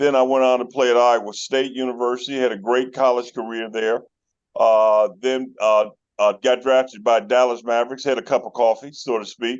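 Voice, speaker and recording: This man's pitch is medium and his pace moderate. He delivers everything in a monotone, flat intonation. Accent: American. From Chicago, North Side (Uptown). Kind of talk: casual interview chat. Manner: halting with many fillers.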